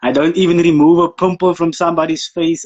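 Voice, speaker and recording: A man talks at a very fast pace. He has a South African accent. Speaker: photographer. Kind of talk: casual interview chat.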